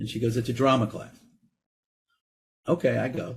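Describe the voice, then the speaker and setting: A man speaks with an American accent at a medium pitch. His voice is somewhat breathy and his pace moderate. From New York, Brooklyn. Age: 50s. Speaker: actor and director. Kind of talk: interview. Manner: animated.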